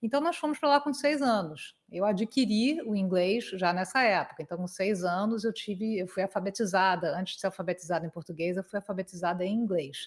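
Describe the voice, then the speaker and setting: A woman with a Carioca accent talks at a fairly quick pace, her medium pitch carried by lively intonation. The recording is very clean, with a silent background. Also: hardly any pauses. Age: 50s. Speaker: conference interpreter. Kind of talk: interview.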